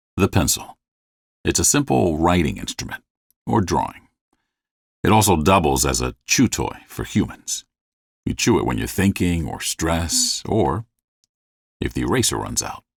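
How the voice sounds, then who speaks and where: With vocal fry and a very deep, low pitch, a man talks at a moderate pace with long, frequent pauses and very wide pitch swings, in a dry, close sound with no echo on a very clean recording with a silent background. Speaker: voice actor and narrator. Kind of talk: comedic documentary narration. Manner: wry, conversational, sarcastic.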